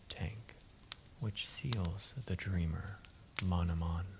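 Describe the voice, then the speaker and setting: Noticeable background noise sits behind a man speaking at a very slow pace. His tone is relaxed and calm, with fairly even intonation. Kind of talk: sleep story. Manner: relaxed, calm.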